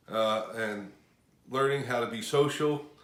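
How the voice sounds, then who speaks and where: In a room with audible echo, a man speaks at a fairly slow pace with medium pitch and fairly even intonation. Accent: American. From US Northeast, Washington Township. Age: 50s. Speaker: auto mechanic. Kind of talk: interview.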